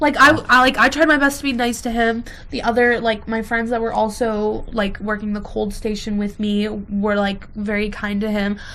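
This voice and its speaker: A woman speaks at a moderate pace in a fairly high, bright and sharp voice with an animated tone, and the room echo is audible. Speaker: podcast co-host. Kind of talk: casual chat. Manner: loud.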